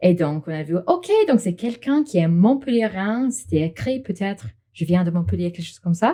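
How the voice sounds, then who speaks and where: With an English accent, a woman of medium pitch talks at a moderate pace in a dark, mellow, somewhat breathy tone, her pitch swinging very widely. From England. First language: English (speaking French). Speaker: English teacher, marketing worker. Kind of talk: casual interview.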